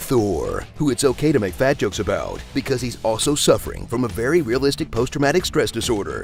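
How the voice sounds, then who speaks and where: Music plays in the background. The speech moves at a fairly quick pace with hardly any pauses. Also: man. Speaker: trailer voice actor. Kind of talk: movie trailer parody narration. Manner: sarcastic, comedic.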